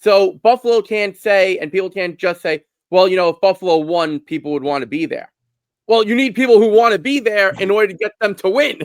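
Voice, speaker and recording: Dry and close with no echo, a man's high-pitched voice moves at a fairly quick pace with a Brooklyn accent. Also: ordinary pitch variation. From Brooklyn, New York. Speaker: hockey podcaster. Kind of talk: casual sports discussion.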